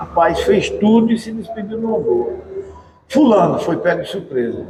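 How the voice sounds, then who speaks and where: A man speaks, neither fast nor slow, at a moderate pace. Behind him, noticeable background noise persists. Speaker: TV presenter. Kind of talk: interview talk.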